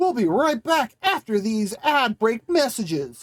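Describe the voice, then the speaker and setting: This put-on character voice sits at a fairly high pitch and moves at a fairly slow pace. Its pitch swings very widely. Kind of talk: announcer, broadcast style.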